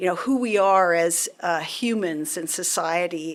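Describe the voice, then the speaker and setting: A woman with an ordinary speaking voice talks at a fairly slow pace with ordinary pitch variation. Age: 60s. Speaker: national laboratory scientist. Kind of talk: casual conversation interview. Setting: recording booth at a university.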